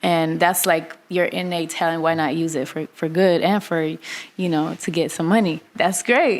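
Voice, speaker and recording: Over noticeable background noise, a woman talks at a fairly slow pace with hardly any pauses, using a fairly low pitch and fairly even intonation. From Kazakhstan and Russia. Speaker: singer and voice-over artist. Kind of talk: interview answer. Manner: casual, hesitant.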